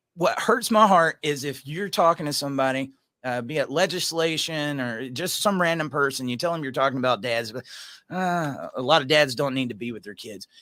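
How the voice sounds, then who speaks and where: On a very clean recording with a silent background, a man with a Georgia accent speaks fairly quickly in a fairly high pitch and a bright, sharp tone. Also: ordinary pitch variation, big swings in loudness. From Georgia, US South. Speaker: podcast host, single dad. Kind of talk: casual chat.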